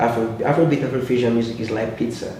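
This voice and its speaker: Moderate-paced speech from a man at medium pitch, with audible room echo and noticeable background noise. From Nigeria. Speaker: musician. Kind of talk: interview. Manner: halting.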